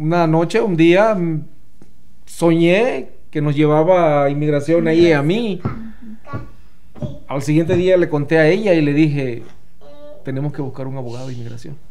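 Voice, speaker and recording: Through noticeable background noise and audible room echo, a man with a fairly high pitch talks with long, frequent pauses. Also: ordinary pitch variation, fairly quick pace. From Mexico. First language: Spanish. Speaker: former immigration client. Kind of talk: interview. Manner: halting, repeats words in English.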